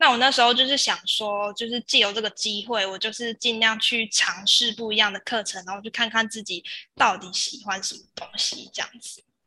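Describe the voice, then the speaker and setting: Speaking at a moderate pace in a Taiwanese accent, a woman has a fairly high pitch, a bright, sharp tone and fairly even intonation. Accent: Taiwanese Mandarin. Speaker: former exchange student. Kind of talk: interview.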